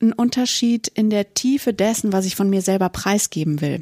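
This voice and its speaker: A woman of medium pitch with a dark, mellow tone, fairly quick and fairly even in intonation, the sound dry and close with no echo. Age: 30s. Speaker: teacher and podcast co-host. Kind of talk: casual chat.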